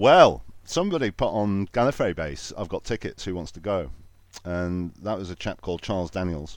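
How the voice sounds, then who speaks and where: Against a quiet background, a man speaks with a very deep, low pitch. His intonation is lively and his loudness swings widely. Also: moderate pace. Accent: Lancashire. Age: 40s. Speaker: podcast host, guest. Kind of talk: casual chat.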